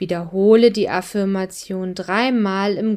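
A woman's calm, soothing tone at a medium pitch and a very slow pace, on a very clean recording with a silent background. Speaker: meditation guide. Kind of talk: guided meditation. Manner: slow, calm, soothing; soft-spoken, gentle, unhurried with long pauses.

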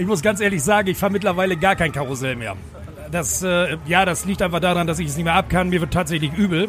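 A man's high voice at a very fast pace, with ordinary pitch variation. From Bremen. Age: 40s. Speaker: fairground ride operator. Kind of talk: interview. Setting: outdoors at a fairground. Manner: hesitant with fillers.

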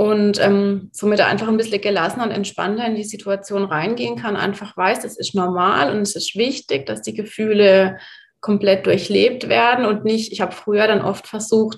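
A woman talks at a moderate pace. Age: 30s. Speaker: mother, course participant. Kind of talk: interview.

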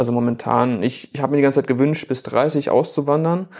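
With fairly even intonation, a man talks in a fairly high voice. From Germany, Bielefeld. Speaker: photographer and filmmaker. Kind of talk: casual interview.

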